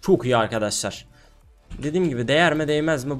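Faint music plays in the background as a man talks at a fairly quick pace with ordinary pitch variation. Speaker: gaming youtuber. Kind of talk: casual gameplay commentary. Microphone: headset.

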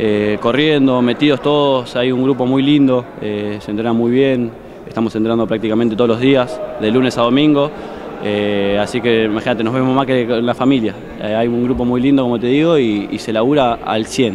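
Despite noticeable background noise, the dry sound has no echo as a man talks at a moderate pace with fairly even intonation. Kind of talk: interview answer. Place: hall. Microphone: handheld.

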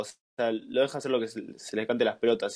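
A man with a Rioplatense accent, in a very clean recording with a silent background. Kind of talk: casual chat. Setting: live stream.

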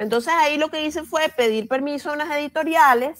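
High-pitched woman's voice, lively intonation, over a quiet background. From Venezuela. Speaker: journalist and children's language educator; journalist, children's language educator. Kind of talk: interview. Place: home room. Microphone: earbuds.

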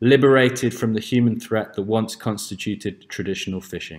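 He has an unremarkable speaking voice. His pace is moderate, and his pitch varies in an ordinary way. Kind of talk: conference lecture.

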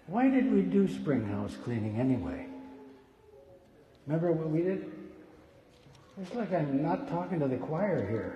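Light background noise and audible room echo accompany a man speaking at a moderate pace with long, frequent pauses. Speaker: pastor. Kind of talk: sermon. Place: church. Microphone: podium.

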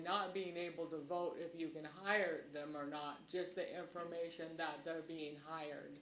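Against audible room echo and noticeable background noise, a woman with a fairly low pitch speaks at a fairly slow pace in a monotone, flat intonation. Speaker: county commissioner. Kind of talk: public meeting discussion. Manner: halting.

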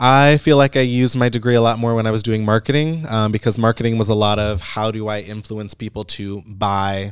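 A man talks at a fairly quick pace with fairly even intonation over a quiet background. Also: hardly any pauses. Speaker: digital marketer. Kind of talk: casual chat. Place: studio. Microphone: studio mic.

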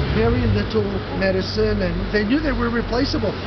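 Through loud background noise, a man speaks at a fairly quick pace. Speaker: walking tour guide. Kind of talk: tour guide narration to a group. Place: street. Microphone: camera far.

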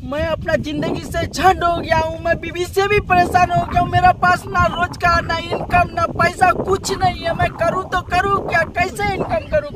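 Loud background noise surrounds speech delivered at a fairly slow pace, with a dry sound and no echo. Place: open country.

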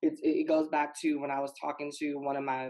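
A woman speaks in a very deep, low voice. Her intonation is fairly even over a quiet background. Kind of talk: panel discussion. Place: home room. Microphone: video call.

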